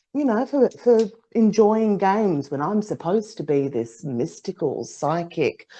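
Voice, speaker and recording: A woman speaks with a dark, mellow tone at a moderate pace. The background is quiet. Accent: Australian. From Australia. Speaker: psychic, podcast co-host. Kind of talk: casual chat.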